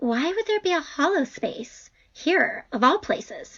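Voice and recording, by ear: A woman performs a put-on character voice with lively intonation. Her pitch is high, her tone fairly bright, and her pace slow.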